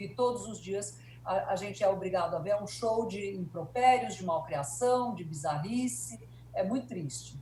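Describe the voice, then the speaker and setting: With a dark, mellow tone and vocal fry, a woman speaks at a moderate pace and medium pitch, her voice making very wide pitch swings and big swings in loudness. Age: 60s. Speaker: journalist and etiquette consultant. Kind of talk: interview. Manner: hesitant, many fillers.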